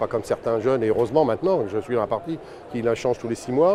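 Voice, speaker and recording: A man's medium-pitched voice, with ordinary pitch variation, comes through noticeable background noise. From northern France, Seine-et-Marne (Melun). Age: 60s. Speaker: franchise owner, shopkeeper. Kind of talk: interview testimony. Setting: trade fair. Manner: hesitant, many fillers and repetitions.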